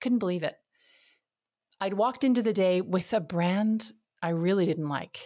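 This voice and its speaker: Her intonation is lively and her pitch is medium. The woman is heard in a very clean recording with a silent background. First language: French. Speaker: podcast host, marketing coach. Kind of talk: interview conversation. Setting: home office.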